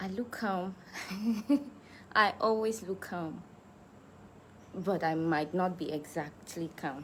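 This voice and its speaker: A woman talks very slowly, with long pauses that come often. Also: fairly low pitch for a woman, ordinary pitch variation. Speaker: musician. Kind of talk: livestream chat.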